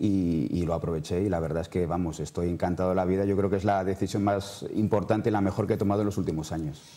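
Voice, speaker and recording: A man at a very fast pace over a quiet background. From Madrid, Spain; Spain. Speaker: novelist; interviewee. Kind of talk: TV interview. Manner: halting, many repetitions. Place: studio. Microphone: lapel.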